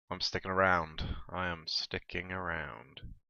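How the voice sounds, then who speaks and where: Here a man speaks at a very slow pace. His pitch is very deep and low. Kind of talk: casual talk to camera. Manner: hesitant, rambling.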